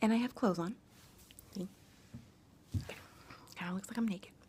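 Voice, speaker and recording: A soft-spoken woman whispers. Her pace is moderate. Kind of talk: casual talk to camera. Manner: soft-spoken, whispered.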